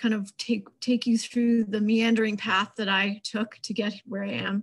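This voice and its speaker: In an American accent, a woman speaks at a fairly slow pace in a flat monotone, her voice somewhat breathy against a quiet background. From New York. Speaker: wildlife biologist. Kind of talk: panel introduction. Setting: video call. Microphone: video call.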